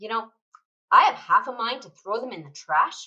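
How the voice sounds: A woman puts on a character voice with a fairly high pitch, a bright, sharp tone and a slightly husky edge. Her intonation is lively and her pace is moderate.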